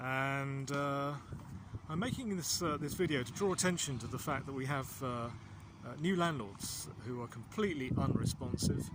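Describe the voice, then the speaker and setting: A plain, everyday voice: a man of fairly high pitch, moderate pace and ordinary pitch variation. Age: 60s. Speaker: small business owner. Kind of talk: casual talk to camera. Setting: outdoors.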